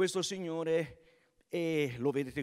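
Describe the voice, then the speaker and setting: A man's voice, with ordinary pitch variation, stands against a quiet background. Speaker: event presenter. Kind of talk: live event hosting. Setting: stage with audience. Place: stage. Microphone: handheld.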